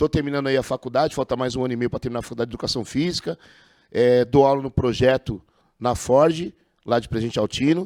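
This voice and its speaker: Over a silent background in a very clean recording, a man talks very fast at medium pitch with fairly even intonation and a dry, close sound with no echo. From Brazil, Osasco (São Paulo). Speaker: podcast host, former amateur football referee. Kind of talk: podcast interview.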